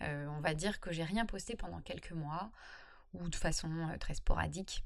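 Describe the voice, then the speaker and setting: A woman is speaking here. Her pace is fairly quick, with ordinary pitch variation. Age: 30s. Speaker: freelancer and blogger. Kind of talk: solo podcast monologue. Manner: casual, hesitant with fillers.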